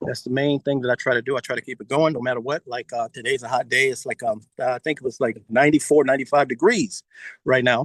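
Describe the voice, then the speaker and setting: A man talks at a very fast pace with fairly even intonation. The sound is dry and close, with no echo. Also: medium pitch for a man. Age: 60s. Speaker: guest storyteller. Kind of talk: casual talk on a live video call. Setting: outdoors in backyard, video call.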